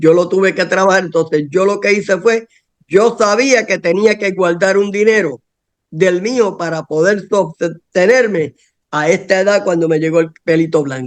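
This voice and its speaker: This man's voice sits high in pitch, with ordinary pitch variation. He speaks at a fairly slow pace. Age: 60s. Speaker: political activist. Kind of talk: casual chat.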